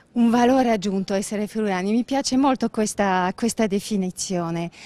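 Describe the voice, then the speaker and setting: Speaking fairly quickly in a French accent, a woman uses a medium pitch with ordinary pitch variation and very even loudness, recorded with a dry, close sound and no echo. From Belgium, Brussels. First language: French (speaking Italian). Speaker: business owner. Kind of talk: interview. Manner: halting.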